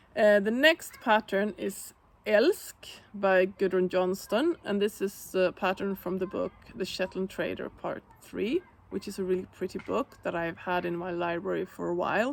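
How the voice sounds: This woman talks at a medium pitch with ordinary pitch variation and some vocal fry. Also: moderate pace.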